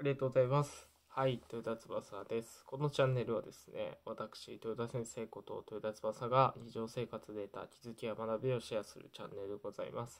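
With hardly any pauses, a man talks at a fairly quick pace in a monotone, flat intonation, his loudness swinging widely. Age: 20s. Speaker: YouTuber sharing life lessons. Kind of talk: casual vlog talk to camera. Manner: hesitant, many fillers. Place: home room.

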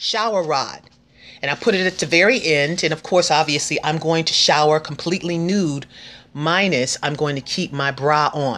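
A woman talks in a fairly low pitch. Her tone is bright and sharp. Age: 50s. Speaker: cancer patient vlogger. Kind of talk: tutorial. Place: home room.

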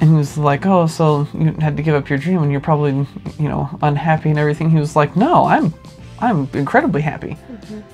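The speech moves at a fairly quick pace over faint music in the background. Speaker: co-host. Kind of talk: casual vlog chat. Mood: relaxed, amused. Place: home room. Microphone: lapel.

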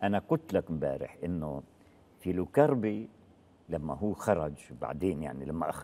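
A man speaks at a fairly slow pace with long, frequent pauses. His very deep, low voice has vocal fry, a dark, mellow tone and lively intonation. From Palestine. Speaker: former militant group leader; interview guest. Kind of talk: interview testimony. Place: studio. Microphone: lapel.

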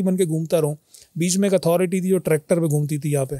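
Dry, with no echo and a quiet background, a man's high-pitched voice has a dark, mellow tone, ordinary pitch variation and a fairly quick pace. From Pakistan, Karachi; Pakistan. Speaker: media and event management professional; podcast guest. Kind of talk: casual chat. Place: studio. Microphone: studio mic.

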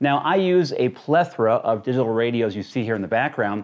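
At a moderate pace, a man's voice makes big pitch swings.

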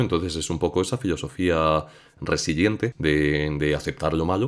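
In a very clean recording with a silent background, a man speaks at a moderate pace in a very deep, low pitch. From Spain. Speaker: YouTube content creator. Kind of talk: casual interview chat.

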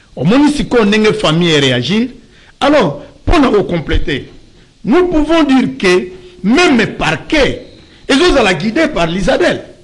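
The voice moves at a very slow pace, swinging very widely in pitch and stopping for long, frequent pauses. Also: man, high pitch for a man. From DR Congo. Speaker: pastor; talk show guest, lawyer. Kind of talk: talk show interview. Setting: studio. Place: studio. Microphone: studio mic.

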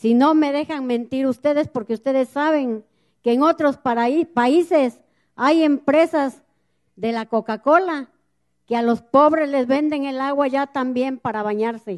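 A woman's high-pitched voice, fairly slow pace, quiet background. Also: ordinary pitch variation. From Mexico, central Veracruz. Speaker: community activist, river defender. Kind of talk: public speech at a gathering. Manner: impassioned. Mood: earnest, indignant. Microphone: handheld.

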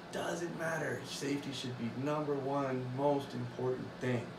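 A man's fairly even intonation against noticeable background noise. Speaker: hobby woodworker vlogger. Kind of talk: casual vlog chat. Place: workshop.

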